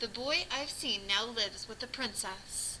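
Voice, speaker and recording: A woman puts on a character voice with a fairly high pitch, talking at a moderate pace over clear background noise. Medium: read story.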